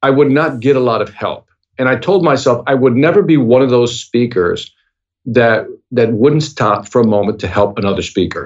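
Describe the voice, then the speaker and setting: The speech moves at a moderate pace. Its pitch varies in an ordinary way. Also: man, medium pitch for a man. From Chicago, US Midwest, Puerto Rican family. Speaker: sales speaker and author. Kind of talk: podcast interview. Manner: casual, animated.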